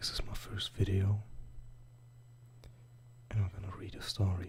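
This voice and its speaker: The speaker is whispering. The pace is moderate. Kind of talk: whispered ASMR story reading.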